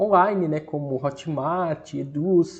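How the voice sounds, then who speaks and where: A man has an unremarkable speaking voice, pitched fairly high and with ordinary pitch variation. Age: 30s. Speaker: online course instructor, electronic security business owner. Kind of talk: online course lesson. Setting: screen-share recording. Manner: casual, conversational with fillers.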